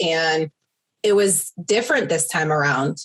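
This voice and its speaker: A woman with an American accent at a fairly slow pace, fairly low in pitch with ordinary pitch variation. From New York. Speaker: yoga business owner, former client. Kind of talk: interview testimony. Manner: loud; animated.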